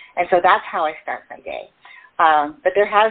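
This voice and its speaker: A woman speaks in an ordinary speaking voice with fairly low pitch. Her pitch varies in an ordinary way. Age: 60s. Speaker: self-care coach. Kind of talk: interview.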